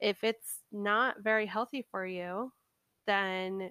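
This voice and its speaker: The woman's tone is bright and sharp, her intonation monotone and flat. The sound is dry and close, with no echo. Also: very clean recording, silent background. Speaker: tarot card podcast host. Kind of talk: casual spiritual monologue. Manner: halting.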